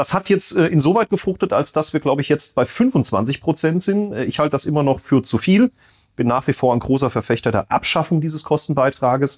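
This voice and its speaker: With a dry, close sound and no echo, a man in an unremarkable speaking voice talks at a fairly quick pace, fairly high in pitch, with lively intonation. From Rhineland-Palatinate, Bad Kreuznach district. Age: 30s. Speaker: state parliament member, podcast co-host. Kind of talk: casual chat.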